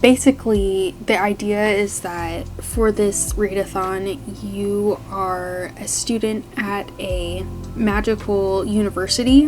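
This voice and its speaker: Against music in the background, a woman talks at a very slow pace in a medium pitch, her loudness swinging widely. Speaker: book content creator. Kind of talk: casual talk to camera.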